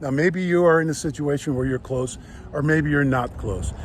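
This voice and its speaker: Here a man talks at a fairly quick pace. He uses a normal speaking voice, fairly high in pitch. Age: 60s. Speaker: real estate agent. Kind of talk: casual vlog talk. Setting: outdoors, then indoors.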